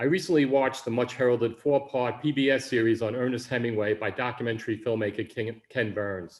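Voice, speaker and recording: Here a man speaks at a medium pitch with a Bronx accent. His pace is fairly quick, with ordinary pitch variation. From New York City, the Bronx. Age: 60s. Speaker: writer, Vietnam veteran. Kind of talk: reading aloud of own memoir.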